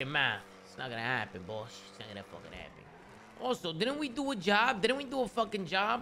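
A man speaks in a raised, projected voice with a high pitch and a bright, sharp tone. His pitch swings very widely, his loudness shifts a lot, and his pace is fairly quick. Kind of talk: heated roleplay argument. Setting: GTA roleplay stream with voice chat. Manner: loud, aggressive, profane shouting.

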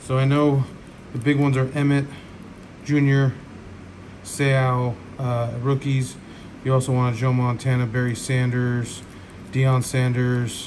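A man speaking at a fairly slow pace, flat and monotone, with long, frequent pauses and noticeable background noise. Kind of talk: casual pack opening commentary. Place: home room.

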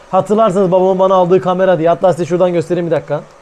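A man speaks in an animated tone. There is noticeable background noise. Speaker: vlogger. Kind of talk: casual vlog talk.

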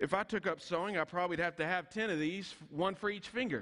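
A bright, sharp tone against a quiet background. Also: man. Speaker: pastor preaching. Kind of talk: sermon. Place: church.

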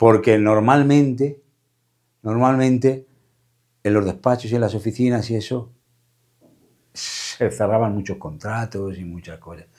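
A man's dark, mellow voice at a fairly low pitch and a fairly slow pace. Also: quiet background. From Madrid, Spain (Caño Roto, Gitano community); Madrid. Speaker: flamenco guitarist; interviewee. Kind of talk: interview. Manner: halting, repeating words. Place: studio.

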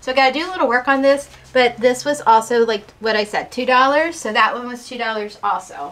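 A woman talks at a fairly quick pace and a high pitch. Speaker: vintage reseller. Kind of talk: casual vlog chat. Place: home room. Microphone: camera far.

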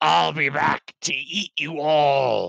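A man puts on a character voice at a fairly high pitch. It sounds raspy and growling. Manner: snarling, menacing.

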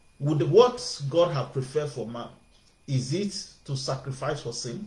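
Amid audible room echo, a somewhat breathy man speaks at a fairly slow pace with ordinary pitch variation. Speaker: preacher. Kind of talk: sermon. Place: home room. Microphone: webcam.

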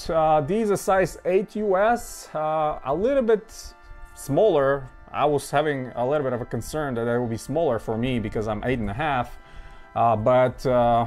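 Male speech with faint background music. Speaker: sneaker collector reviewer. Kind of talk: casual product review chat. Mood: enthusiastic, relaxed. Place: home room.

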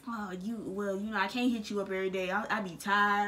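A woman's fairly quick delivery with ordinary pitch variation. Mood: playful, joking, laughing. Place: home room. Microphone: phone near.

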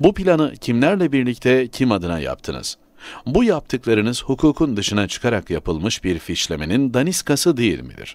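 A man with a medium pitch and vocal fry makes very wide pitch swings. The recording is very clean, with a silent background. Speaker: newspaper columnist. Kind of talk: reading aloud.

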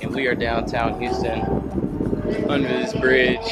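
Loud background noise surrounds the recording. Through it, a man speaks at a moderate pace. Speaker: fishing vlogger. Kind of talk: casual vlog chat. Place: waterside. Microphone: phone near.

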